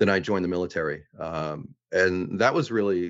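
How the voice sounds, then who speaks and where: Set against a quiet background, the voice carries an American accent. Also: man. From Boston, Massachusetts. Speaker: navy veteran and lawyer. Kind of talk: interview.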